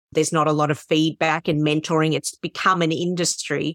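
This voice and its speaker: With an Australian accent, a woman speaks in a monotone, flat way. The sound is dry and close, with no echo. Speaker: podcast host, worship leader. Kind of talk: interview conversation.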